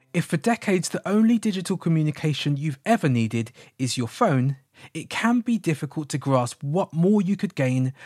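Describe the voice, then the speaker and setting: A man with a British accent speaks in a fairly high pitch with very wide swings. The recording is very clean, with a silent background and a dry, close sound with no echo. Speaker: podcast producer and presenter. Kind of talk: scripted narration.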